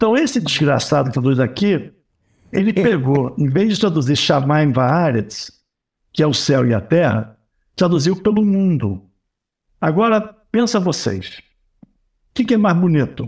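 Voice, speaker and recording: A man speaks at a fairly slow pace with long, frequent pauses. His pitch swings very widely while his loudness stays very even. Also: fairly high pitch for a man, very clean recording, silent background. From Brazil, Rio de Janeiro. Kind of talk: casual chat.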